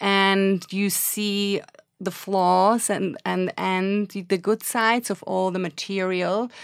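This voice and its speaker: Over a very clean recording with a silent background, a woman speaks at a very slow pace. Her medium-pitched voice stays monotone and flat. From Switzerland. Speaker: film editor and director. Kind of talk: interview.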